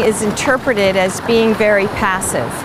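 Clear background noise sits under the recording. A woman talks at a fairly slow pace.

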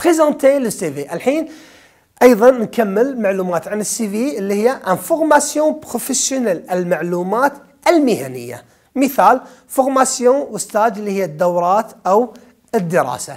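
A speaker with a Kuwaiti accent talks at a moderate pace over a quiet background. The pitch swings very widely. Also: man, high pitch for a man. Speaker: French teacher. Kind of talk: exam review lesson. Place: studio. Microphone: lapel.

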